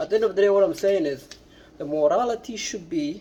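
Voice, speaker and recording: A non-native accent at a moderate pace. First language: not English. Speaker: political commentator vlogger. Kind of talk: opinion monologue. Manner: halting, many repetitions and fillers.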